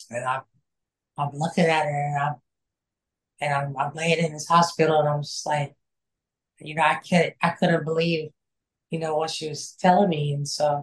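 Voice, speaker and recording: This woman's voice is very deep and low, somewhat breathy, with monotone, flat intonation. She talks at a moderate pace. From Kansas. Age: 30s. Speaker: shooting survivor sharing recovery story. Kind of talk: testimony. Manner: halting, many fillers.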